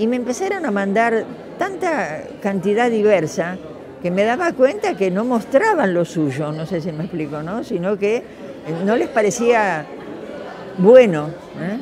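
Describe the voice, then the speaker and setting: Amid crowd noise and audible room echo, a woman at medium pitch speaks fairly slowly with very wide pitch swings and long, frequent pauses. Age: 80s+. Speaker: retired teacher and educator. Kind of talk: interview testimony. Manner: hesitant, many fillers.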